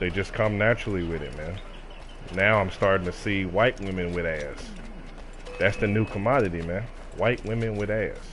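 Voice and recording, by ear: A man speaks at a moderate pace in a low voice, with ordinary pitch variation.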